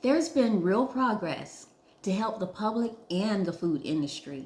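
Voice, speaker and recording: A woman speaks at a moderate pace with ordinary pitch variation in an ordinary speaking voice. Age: 60s. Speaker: food safety trainer. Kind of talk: scripted narration. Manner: formal.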